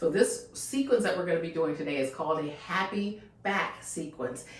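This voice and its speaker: A woman speaks at a moderate pace with very wide pitch swings, amid noticeable background noise and audible room echo. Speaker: fitness instructor. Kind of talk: guided exercise instruction. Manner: calm, soothing; casual, chatty.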